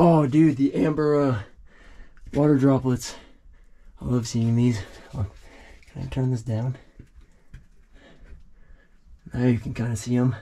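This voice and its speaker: Speaking at a fairly slow pace with long, frequent pauses, a man has a dark, mellow tone. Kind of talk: casual vlog commentary. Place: tunnel cave. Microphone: phone near.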